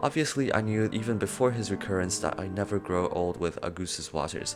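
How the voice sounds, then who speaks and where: A man at a very fast pace, fairly low in pitch with ordinary pitch variation, with music in the background. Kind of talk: video essay narration.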